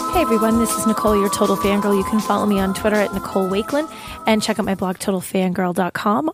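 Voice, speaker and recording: Music sits in the background as a woman speaks in a dry, close sound with no echo. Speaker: podcast segment host. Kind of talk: scripted podcast segment.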